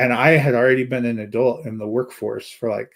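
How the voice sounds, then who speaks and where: Using a plain, everyday voice, a man of medium pitch talks at a fairly quick pace with fairly even intonation. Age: 40s. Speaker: film reviewer, podcast co-host. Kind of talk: casual chat. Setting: live stream.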